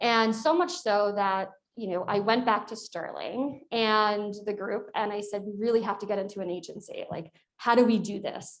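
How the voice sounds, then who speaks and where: A woman with a Long Island accent, fairly high in pitch with ordinary pitch variation, on a very clean recording with a silent background. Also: moderate pace. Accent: Long Island New York. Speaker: corporate executive, alumna panelist. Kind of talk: panel discussion.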